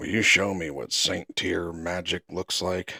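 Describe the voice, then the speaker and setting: At a fairly slow pace, a man puts on a raspy character voice with a very deep, low pitch. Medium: read story.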